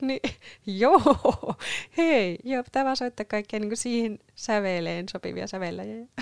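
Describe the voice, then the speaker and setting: The audio is dry and close, with no echo. A woman talks very slowly. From Northern Ostrobothnia, Finland (Sievi). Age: 20s. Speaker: podcast co-host, church musician. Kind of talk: casual chat.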